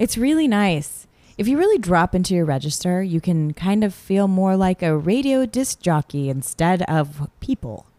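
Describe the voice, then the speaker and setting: A woman with a dark, mellow tone speaks at medium pitch and a moderate pace, making very wide pitch swings and hardly any pauses. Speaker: podcast co-host.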